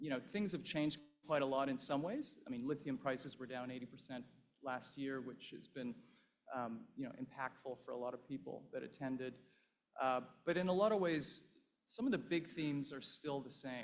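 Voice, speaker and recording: In a Canadian accent, a man with a plain, everyday voice speaks at a fairly high pitch and moderate pace with ordinary pitch variation. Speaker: investment fund partner. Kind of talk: conference speech. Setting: stage with audience.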